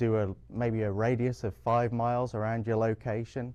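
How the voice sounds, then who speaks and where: Speaking with an English accent, a man uses a medium pitch and a dark, mellow tone at a moderate pace. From England. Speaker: public librarian. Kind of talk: interview.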